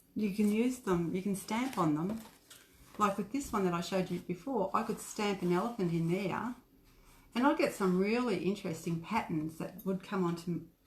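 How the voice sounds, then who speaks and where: A somewhat breathy woman with an Australian accent, medium pitch and ordinary pitch variation. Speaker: craft shop owner. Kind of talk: craft tutorial livestream. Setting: facebook live video. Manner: soft-spoken. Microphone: too quiet.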